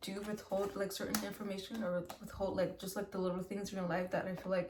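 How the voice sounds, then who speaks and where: Noticeable background noise and audible room echo. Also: woman. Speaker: tarot reader. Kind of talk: tarot reading monologue. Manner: fast; casual, filler-heavy.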